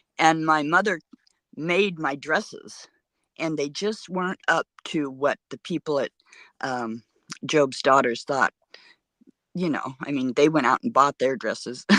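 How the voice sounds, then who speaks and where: A woman with a very deep, low pitch and lively intonation, at a fairly slow pace with long, frequent pauses, in a dry, close sound with no echo over a quiet background. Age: 70s. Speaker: livestream guest. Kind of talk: casual chat. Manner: halting.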